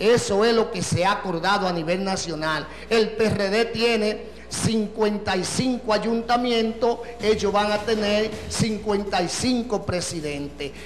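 Amid audible room echo and light background noise, a man with a Dominican accent talks at a high pitch with fairly even intonation. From Dominican Republic. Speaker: party official. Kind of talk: political interview. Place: studio. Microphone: handheld.

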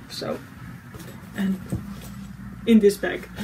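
Over light background noise, a woman speaks with a Dutch accent. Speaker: cross-stitch video creator; crafting vlogger. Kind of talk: casual monologue vlog. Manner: halting, many fillers. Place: home room. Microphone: phone near.

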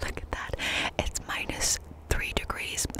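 A soft-spoken woman whispers at a fairly slow pace. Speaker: content creator. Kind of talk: casual vlog chat, ASMR-like whisper talk. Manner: soft ASMR whisper. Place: open country. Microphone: studio mic.

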